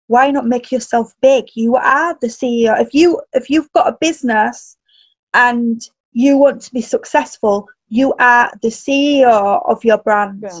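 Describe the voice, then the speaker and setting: In a Yorkshire accent, the speaker goes at a fairly slow pace with ordinary pitch variation. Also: woman, high pitch for a woman. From northern England. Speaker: personal stylist and coach. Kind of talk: casual interview chat.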